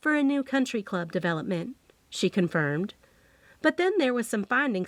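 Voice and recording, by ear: The speaker reads aloud in a natural voice.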